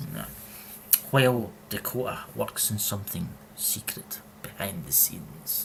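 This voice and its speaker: Over noticeable background noise, a man with a strong Scottish accent speaks at a fairly low pitch and a fairly slow pace, with very wide pitch swings and long, frequent pauses. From Scotland. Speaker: podcast co-host. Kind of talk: casual chat. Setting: live stream. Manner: animated.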